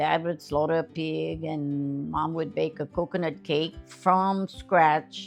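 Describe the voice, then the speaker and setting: Music plays behind a woman with a very deep, low pitch. She speaks at a fairly slow pace with ordinary pitch variation. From Central Louisiana. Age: 80s+. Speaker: elder interviewee. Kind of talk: interview answer.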